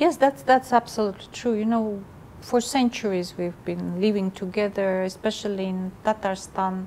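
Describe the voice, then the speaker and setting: Speaking in a Russian accent at a moderate pace, a woman uses a medium pitch with ordinary pitch variation over noticeable background noise. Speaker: ambassador. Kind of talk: interview. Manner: halting.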